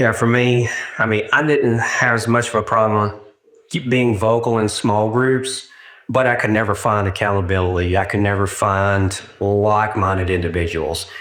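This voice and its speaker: A man with an American accent at a fairly low pitch, moderate pace, ordinary pitch variation and very even loudness, with audible room echo. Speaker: churchgoer giving testimony. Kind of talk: testimony. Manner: halting.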